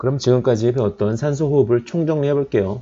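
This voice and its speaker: Fairly quick in pace, a man speaks with a dark, mellow tone. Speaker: biochemistry lecturer. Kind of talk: lecture. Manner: fast.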